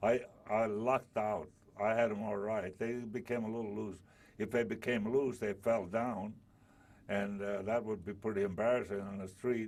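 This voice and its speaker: A man's fairly low voice, monotone and flat in intonation. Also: moderate pace. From southern Italy, then Altoona, Pennsylvania. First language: Italian. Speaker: war veteran. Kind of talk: oral history interview. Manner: halting.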